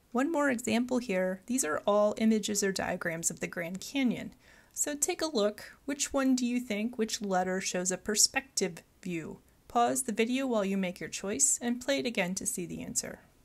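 Here is an unremarkable speaking voice from a woman at a fairly high pitch. She keeps a moderate pace with lively intonation in a very clean recording with a silent background. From Michigan. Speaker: college geology instructor. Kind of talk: recorded mini lecture.

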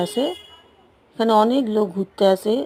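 A woman's voice, medium in pitch, comes through noticeable background noise. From West Bengal, South 24 Parganas. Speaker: travel vlogger. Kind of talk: travel vlog narration. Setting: outdoors.

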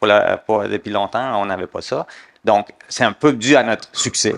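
The background stays quiet as a man speaks at a moderate pace. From Middle East. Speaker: lawyer. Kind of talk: panel discussion. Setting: conference stage with audience. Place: stage. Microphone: headset.

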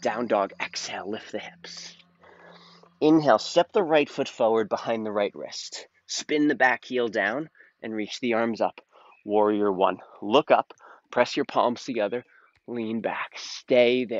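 Against a quiet background, a man talks at a fairly slow pace with ordinary pitch variation and big swings in loudness, the sound dry with no echo. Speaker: yoga instructor. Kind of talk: guided yoga instruction. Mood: calm, soothing. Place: garden.

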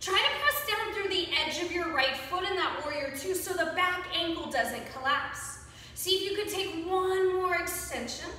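A woman with an extremely high pitch speaks amid audible room echo. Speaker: yoga instructor. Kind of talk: guided yoga class, giving calm, encouraging step-by-step cues timed to the breath. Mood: calm, encouraging. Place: home room. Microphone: camera far.

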